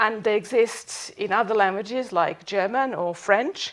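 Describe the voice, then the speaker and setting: A woman with a slight Serbian accent speaks with lively intonation. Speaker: professor. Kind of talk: lecture.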